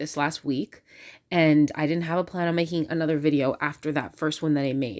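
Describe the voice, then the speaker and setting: The voice is quiet, with a moderate pace and fairly even intonation. The recording is very clean, and the background is silent. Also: woman. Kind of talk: casual vlog monologue. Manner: quiet, hushed.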